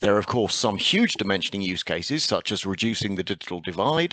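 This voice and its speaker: The sound is dry and close with no echo as a man speaks at a fairly low pitch. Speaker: conference presenter, satellite industry. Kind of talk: conference presentation. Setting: online conference.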